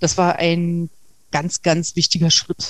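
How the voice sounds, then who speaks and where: A woman speaks somewhat breathily in a dry, close sound with no echo. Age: 40s. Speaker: interview guest sharing abuse survivor experience. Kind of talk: interview. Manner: halting.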